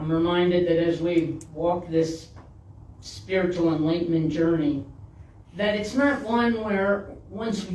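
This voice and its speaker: Against noticeable background noise, the talking goes at a fairly slow pace. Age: 60s. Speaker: minister. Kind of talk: sermon.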